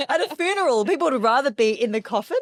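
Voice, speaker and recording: A woman speaks with an Australian accent and very wide pitch swings. The recording is very clean, with a silent background. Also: dry, close sound with no echo. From Australia, Melbourne. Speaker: public speaking coach. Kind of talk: interview.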